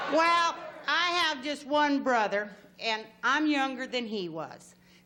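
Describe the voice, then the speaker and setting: A woman with a Texas accent and a high pitch speaks very slowly in a raised, projected voice with lively intonation, amid audible room echo and noticeable background noise. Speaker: game show contestant. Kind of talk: casual chat.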